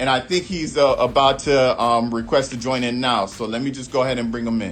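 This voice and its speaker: An animated, medium-pitched man at a fairly quick pace, with ordinary pitch variation and music in the background. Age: 30s. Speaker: music producer and interview show host. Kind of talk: casual interview on livestream. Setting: Instagram live video stream. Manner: casual, animated.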